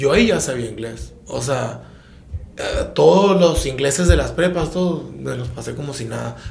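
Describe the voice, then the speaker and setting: At a moderate pace, a man speaks with big swings in loudness, audible room echo, and noticeable background noise. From Sonora, Mexico (Empalme; school in Tijuana). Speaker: podcast host. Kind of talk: casual chat.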